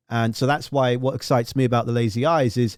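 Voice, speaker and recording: Speaking at a fairly quick pace, a man with a medium pitch talks with a southern English accent. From southern England. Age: 30s. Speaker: radio host and music journalist. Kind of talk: casual interview. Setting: live online video stream.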